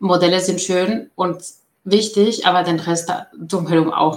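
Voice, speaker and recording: A woman is talking. Her voice is fairly low. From outside Germany. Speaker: data professional. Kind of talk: interview.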